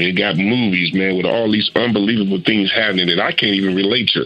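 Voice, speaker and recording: Through noticeable background noise, a man talks at a fairly quick pace with a fairly low pitch and fairly even intonation. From Arkansas. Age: 60s. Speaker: youth mentor. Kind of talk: panel discussion.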